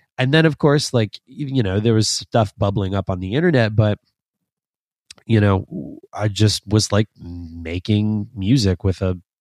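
A man with an unremarkable speaking voice talks fairly slowly at a fairly low pitch with ordinary pitch variation and big swings in loudness, in a dry, close sound with no echo on a very clean recording with a silent background. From Canada, Toronto (Scarborough). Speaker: instrumental metal guitarist. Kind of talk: podcast interview.

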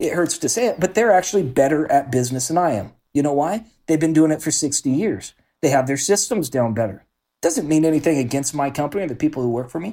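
A man talks at a very fast pace with lively intonation and a dark, mellow tone. The recording is very clean, with a silent background. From Oregon, US Pacific Northwest. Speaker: real estate investor and business owner. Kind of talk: interview.

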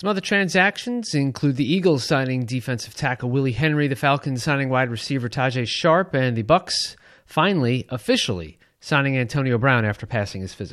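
An ordinary speaking voice with lively intonation and a fairly quick pace over a quiet background. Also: man, medium pitch for a man. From Long Island, New York. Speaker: podcast co-host reading news. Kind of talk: news reading.

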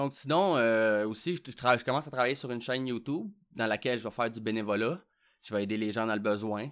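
A man with a Quebec accent, medium pitch and ordinary pitch variation at a very fast pace. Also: very clean recording, silent background. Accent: Québécois French. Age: 30s. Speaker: podcast host. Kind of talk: casual solo monologue. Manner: hesitant, with fillers and repetitions.

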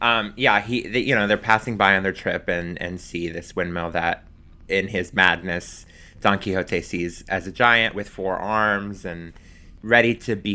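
A man with an American accent speaks at a fairly slow pace in a bright, sharp tone with fairly even intonation. The recording is very clean, its background silent. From US South, Pensacola, Florida Panhandle. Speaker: drag performer. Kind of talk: casual interview chat.

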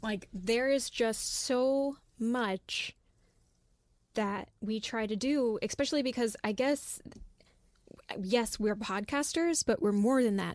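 A woman with an American accent speaks very slowly at a fairly high pitch, with ordinary pitch variation. Long, frequent pauses mark this very clean recording with a silent background. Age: 20s. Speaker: podcast writer. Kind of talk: casual chat.

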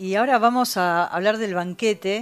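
A woman speaks fairly slowly at a medium pitch, with ordinary pitch variation. The recording is very clean with a silent background. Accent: Rioplatense. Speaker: radio host. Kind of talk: radio show hosting. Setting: radio studio.

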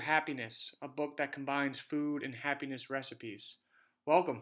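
At a moderate pace, a man with a fairly high pitch speaks in a plain, everyday voice, captured in a very clean recording with a silent background. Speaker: radio host. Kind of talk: interview.

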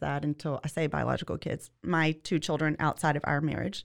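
A woman with a Louisiana accent talks at a fairly quick pace in a very clean recording with a silent background. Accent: Louisiana Southern. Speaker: legal assistant. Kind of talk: casual interview.

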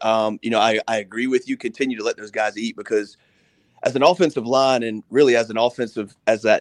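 A man speaks in a normal speaking voice at a fairly quick pace, with medium pitch and ordinary pitch variation. The sound is dry and close, with no echo. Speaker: football analyst. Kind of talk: sports talk radio discussion.

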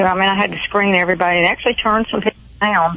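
Woman with a Georgia accent, medium pitch and fairly even intonation, over noticeable background noise. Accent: Southern US, Georgia. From Thomasville, Georgia. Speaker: radio call-in caller. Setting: phone.

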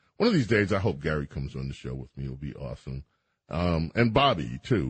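A man with an American accent talks in very wide pitch swings. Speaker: radio host. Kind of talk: call-in radio chat.

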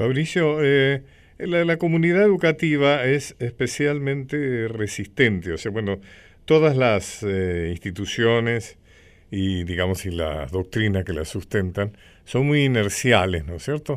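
At a fairly slow pace, a man with medium pitch talks in very wide pitch swings, recorded very cleanly against a silent background. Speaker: radio host. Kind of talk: radio interview and history talk. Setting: radio studio.

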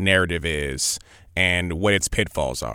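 A man talks at a fairly slow pace. His voice has vocal fry. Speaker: event host. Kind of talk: moderated interview. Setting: video call. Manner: hesitant, filler-heavy.

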